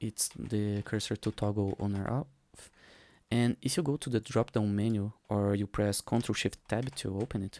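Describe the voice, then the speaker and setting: A man with a non-native accent speaks at a moderate pace in a fairly low pitch, his dark, mellow tone and fairly even intonation heard clearly. The sound is dry and close with no echo, on a very clean recording with a silent background. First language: not English. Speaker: 3D artist. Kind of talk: tutorial. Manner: casual, with hesitations.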